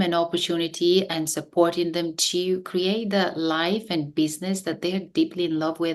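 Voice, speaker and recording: Over a quiet background, a woman with a Bulgarian accent speaks at a fairly low pitch with monotone, flat intonation. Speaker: business coach. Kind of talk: interview. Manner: halting with fillers.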